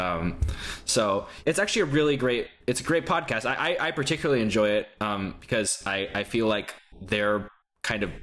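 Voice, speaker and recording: Here is a man with an American accent and an unremarkable speaking voice. He talks at a moderate pace with a fairly low pitch and ordinary pitch variation. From Texas. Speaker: podcast co-host. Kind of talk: casual chat.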